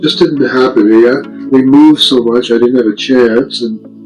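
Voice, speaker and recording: A man talks at a moderate pace and medium pitch. Music plays in the background. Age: 80s+. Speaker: vlogger. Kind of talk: casual monologue. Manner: halting.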